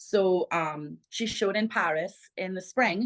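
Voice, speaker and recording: A Trinidadian accent in dry, close sound with no echo and a quiet background. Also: woman. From Trinidad and Tobago. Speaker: plus-size model and content creator. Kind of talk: interview.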